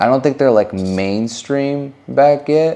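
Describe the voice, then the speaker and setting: With lively intonation and an animated tone, a man speaks at a moderate pace. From California. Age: 20s. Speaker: YouTuber and stylist. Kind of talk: casual Q&A vlog.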